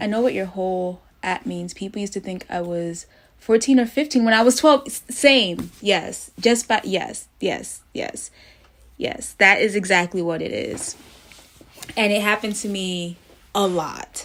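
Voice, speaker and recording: At a fairly slow pace, a woman speaks at medium pitch with ordinary pitch variation and big swings in loudness. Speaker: livestreamer. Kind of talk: casual chat. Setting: livestream. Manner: articulate.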